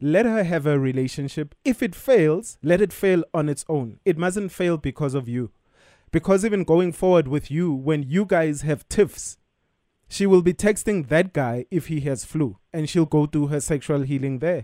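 A man speaks with lively intonation and a dark, mellow tone at a fairly high pitch, recorded very cleanly against a silent background with a dry, close sound and no echo. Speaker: radio co-host giving advice. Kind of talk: casual advice chat. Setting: studio.

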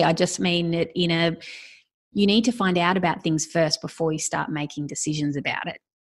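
A woman with an Australian accent speaks at a fairly low pitch, with ordinary pitch variation and a quiet background. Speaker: podcast host. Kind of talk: casual interview.

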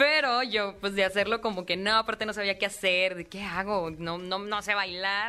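An animated tone at a moderate pace. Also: woman. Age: 20s. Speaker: singer. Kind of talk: interview.

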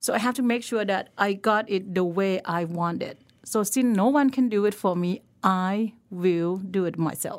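A woman with a Thai accent, in a very clean recording against a silent background. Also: medium pitch for a woman, ordinary pitch variation, moderate pace. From northern Thailand, Lampang. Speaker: chef. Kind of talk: casual interview chat. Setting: podcast studio.

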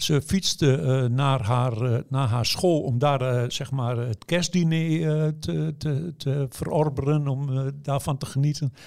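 Speaking at a very slow pace with hardly any pauses, a man keeps a fairly high pitch. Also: ordinary pitch variation. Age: 60s. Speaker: newspaper journalist writing obituary stories. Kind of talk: interview. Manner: hesitant, many fillers.

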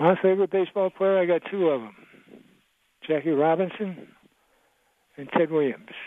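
Pausing long and often, a man with an American accent talks at a high pitch. His pace is moderate and his pitch variation ordinary. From Maryland. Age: 80s+. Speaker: caller. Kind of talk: casual chat. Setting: phone call. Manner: halting.

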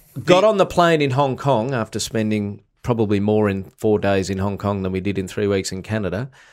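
Heard on a very clean recording with a silent background, a man with an Australian accent talks at a fairly quick pace with hardly any pauses, his pitch fairly low and ordinarily varied. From Australia, country Victoria. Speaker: comedian. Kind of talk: casual chat. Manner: animated.

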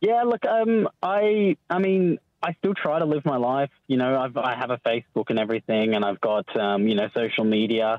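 At a moderate pace and a medium pitch, a man talks with very even loudness and hardly any pauses while his pitch swings very widely. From England. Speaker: former witness in protection program. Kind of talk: radio phone interview. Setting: phone call. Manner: halting.

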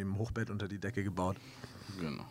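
Very fast speech from a man, with fairly even intonation. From Hamburg, northern Germany. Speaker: musician. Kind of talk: interview. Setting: studio.

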